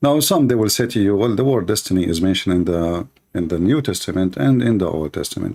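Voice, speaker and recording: Against a silent background in a very clean recording, a man with an Arabic accent talks very fast in a fairly low voice with lively intonation. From Middle East. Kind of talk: livestream debate talk.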